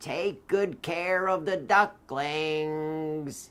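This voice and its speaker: This man puts on a character voice. His pitch sits fairly high. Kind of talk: children's read-aloud story. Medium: read story.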